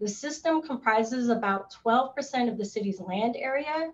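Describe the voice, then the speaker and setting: She has a plain, everyday voice, pitched fairly high for a woman. Her pace is fairly slow. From US Pacific Northwest, Seattle. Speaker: parks and recreation director, moderator; moderator. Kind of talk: panel moderation.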